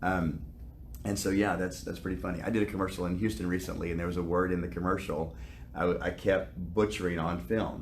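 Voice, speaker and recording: Talking at a very fast pace in a Southern US accent, a man has a very deep, low voice with vocal fry and ordinary pitch variation, and the room gives audible echo. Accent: Southern US, affects some words. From US South. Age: 50s. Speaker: actor. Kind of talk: interview.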